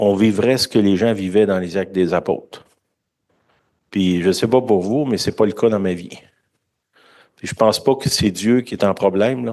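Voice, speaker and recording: Speaking at a moderate pace, a man with a fairly low pitch and a dark, mellow tone keeps his intonation fairly even and leaves long, frequent pauses. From Quebec. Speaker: preacher. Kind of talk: sermon. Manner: conversational.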